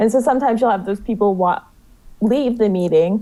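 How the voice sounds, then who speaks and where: A woman's unremarkable speaking voice with an American accent, a fairly quick pace and ordinary pitch variation. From US South, South Carolina (Myrtle Beach). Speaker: student activist. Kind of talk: radio interview.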